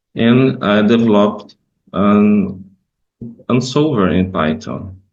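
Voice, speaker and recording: Amid audible room echo, a man speaks very slowly at a fairly low pitch with ordinary pitch variation. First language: Portuguese. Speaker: professor. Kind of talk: conference presentation. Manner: halting.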